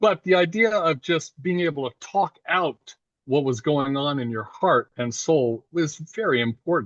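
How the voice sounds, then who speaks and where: A man speaks in a normal speaking voice at a fairly slow pace, his fairly high pitch carried by lively intonation. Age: 60s. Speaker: therapist. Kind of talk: casual interview. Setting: video call.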